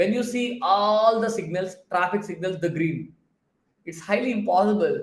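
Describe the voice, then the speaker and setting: A man with a Telugu accent, high-pitched and animated, at a moderate pace, with audible room echo. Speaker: productivity coach. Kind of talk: live stream Q&A talk. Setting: live stream with chat.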